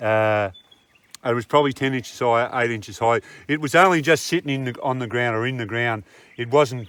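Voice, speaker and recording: A man with an Australian accent speaks at medium pitch and a moderate pace, with ordinary pitch variation. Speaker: gold prospector, channel co-host. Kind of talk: casual chat while metal detecting. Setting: outdoors in the bush. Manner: quiet, subdued.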